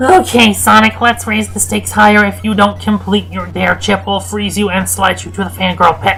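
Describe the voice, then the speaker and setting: Clear music plays in the background as a put-on character voice talks with hardly any pauses. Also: moderate pace. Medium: read story.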